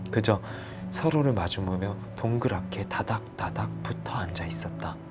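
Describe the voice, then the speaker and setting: With music in the background, a man speaks in a calm tone at a moderate pace, his pitch swinging very widely. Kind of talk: audiobook novel reading. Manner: soft-spoken, calm.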